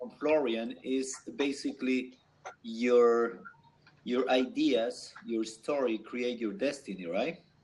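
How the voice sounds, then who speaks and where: With noticeable background noise, a man speaks at a very slow pace and a medium pitch, using ordinary pitch variation. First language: not English. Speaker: guest on business talk show. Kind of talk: video panel discussion. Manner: halting.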